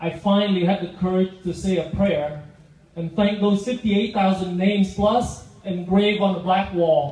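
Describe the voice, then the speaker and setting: With a Vietnamese accent, a man speaks at a moderate pace in a high pitch with fairly even intonation, over noticeable background noise. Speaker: guest speaker, business owner. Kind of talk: public speech.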